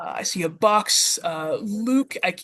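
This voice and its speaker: A woman talks with a Western Pennsylvania accent. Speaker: educator, workshop presenter. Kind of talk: interactive workshop presentation. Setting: video call. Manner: hesitant, many filler words.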